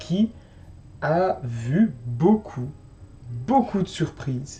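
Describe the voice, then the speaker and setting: A man speaks with a fairly high pitch, a dark, mellow tone and a somewhat breathy quality, making very wide pitch swings. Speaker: wrestling show reviewer. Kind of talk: casual podcast chat.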